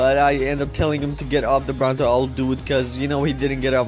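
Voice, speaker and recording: With music in the background, a man with a non-native accent speaks at a very fast pace and a fairly high pitch. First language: not English. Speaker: gaming YouTuber. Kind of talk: gameplay commentary. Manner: halting; casual.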